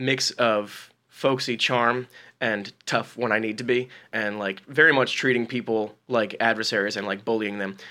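A man's bright, sharp voice at medium pitch and moderate pace, in a very clean recording with a silent background. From New Jersey. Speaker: comedy writer. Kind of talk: casual chat.

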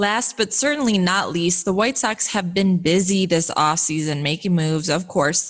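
This is an ordinary speaking voice from a woman with an American accent, at a medium pitch with ordinary pitch variation. The loudness is very even, and the recording is very clean with a silent background. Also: moderate pace. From Chicago western suburbs. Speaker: sports podcast host. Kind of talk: news reading; interview.

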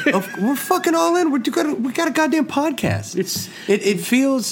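A man speaks at a moderate pace with an extremely high pitch and very wide pitch swings. Noticeable background noise is present. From Kentucky. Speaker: comedian and podcast co-host. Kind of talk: casual chat.

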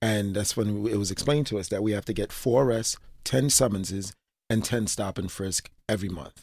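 With a New York accent, a man speaks fairly quickly at a fairly low pitch on a very clean recording with a silent background. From New York, Brooklyn (East Flatbush). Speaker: former police officer and reform advocate. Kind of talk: interview. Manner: halting, with frequent fillers and repetitions.

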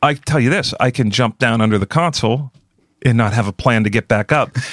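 In a dry, close sound with no echo on a very clean recording with a silent background, a man with an American accent and a plain, everyday voice speaks at a fairly quick pace with ordinary pitch variation. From US, Pittsburgh. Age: 50s. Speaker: music producer and engineer. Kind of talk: casual interview chat.

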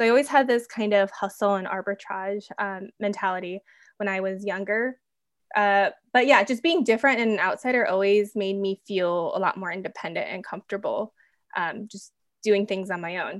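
A plain, everyday voice speaks at a moderate pace with ordinary pitch variation. The background is quiet. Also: woman, medium pitch for a woman. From US Midwest, Minnesota. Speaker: entrepreneur, skincare company founder. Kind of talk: interview.

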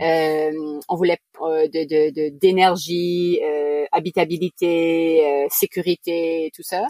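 A woman speaks very slowly in a fairly low pitch with a dark, mellow tone. Her intonation stays flat and monotone. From New Brunswick, Canada (Acadian). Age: 40s. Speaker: sailor, family living aboard. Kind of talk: interview.

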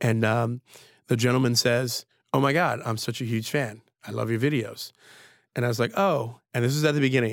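A man with an American accent speaks at medium pitch and a fairly quick pace, with fairly even intonation. Long, frequent pauses appear throughout this very clean recording with a silent background. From US Northeast. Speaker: sommelier and wine educator. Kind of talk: casual interview. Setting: studio.

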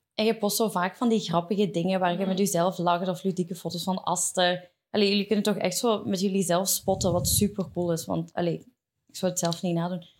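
In a very clean recording with a silent background, a woman with a Flemish accent speaks fairly quickly at a medium pitch with fairly even intonation. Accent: Flemish Dutch. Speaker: podcast host. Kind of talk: casual chat. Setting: studio.

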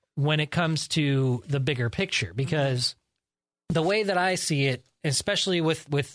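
A man talks in an unremarkable speaking voice, pitched fairly high with ordinary pitch variation. The background is quiet. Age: 30s. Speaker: podcast co-host. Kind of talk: casual chat.

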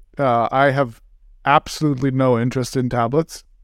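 The recording of this man is dry and close, with no echo. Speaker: podcast host. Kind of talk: casual chat. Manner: joking, playful.

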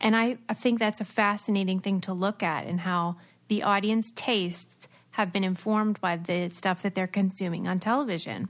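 A woman speaks in a normal speaking voice at medium pitch, moderate in pace and fairly even in intonation. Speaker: former reality TV star and podcaster. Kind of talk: casual interview chat.

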